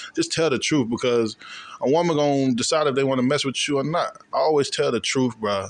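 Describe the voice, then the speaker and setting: A man with an American accent, a normal speaking voice, fairly high in pitch with ordinary pitch variation, very even loudness and a fairly quick pace. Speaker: college student. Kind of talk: casual chat.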